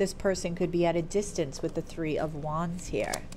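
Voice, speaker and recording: A woman at a fairly slow pace over light background noise. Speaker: tarot reader. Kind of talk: tarot reading commentary. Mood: warm, upbeat. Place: home room. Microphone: earbuds.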